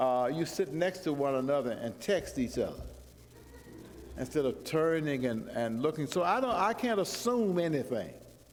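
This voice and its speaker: Lively intonation from a man with a fairly high pitch, in audible room echo. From US South, Georgia. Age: 70s. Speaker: guest preacher. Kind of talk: sermon. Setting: church.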